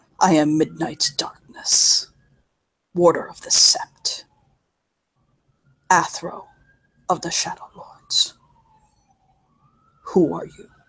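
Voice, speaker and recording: In a put-on character voice, the speaker sounds guttural and goes at a very slow pace with long, frequent pauses. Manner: solemn, menacing.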